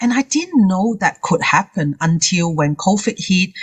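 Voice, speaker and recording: In a Hong Kong accent, a somewhat breathy woman speaks with lively intonation. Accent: Hong Kong accent, non-native. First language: Cantonese. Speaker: confidence coach. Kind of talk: interview.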